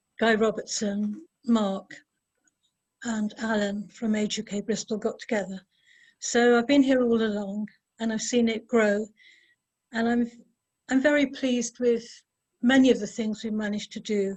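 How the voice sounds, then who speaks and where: Somewhat breathy and fairly high-pitched, a woman speaks at a moderate pace with long, frequent pauses. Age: 80s+. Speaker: volunteer chair of older people's programme. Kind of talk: speech at online event. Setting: online video event.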